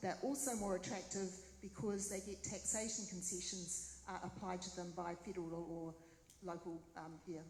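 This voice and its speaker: Speaking at a fairly quick pace with a New Zealand accent, a woman at medium pitch keeps a fairly even intonation over noticeable background noise and audible room echo. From New Zealand, Waipā district. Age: 60s. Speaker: mayoral candidate. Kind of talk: Q&A at candidate forum.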